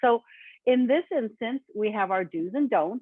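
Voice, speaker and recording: Using an unremarkable speaking voice, a woman talks at a moderate pace with lively intonation. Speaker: webinar presenter. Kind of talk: webinar presentation.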